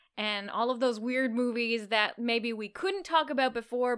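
A woman with a normal speaking voice, a fairly high pitch, and a moderate pace. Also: very clean recording, silent background. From Canada. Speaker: podcast co-host. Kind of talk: casual film review chat.

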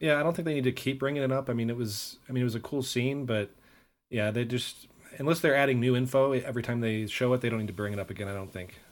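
Very rapid speech comes from a man whose pitch rises and falls in a normal way. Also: medium pitch for a man, very clean recording, silent background. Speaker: podcast host.

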